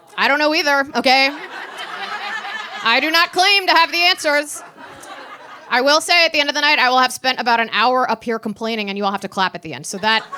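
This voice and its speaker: A woman's high-pitched, raised and projected voice with an American accent, lively intonation, a very fast pace broken by long, frequent pauses, and noticeable background noise. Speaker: stand-up comedian. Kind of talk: stand-up. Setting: stage with audience.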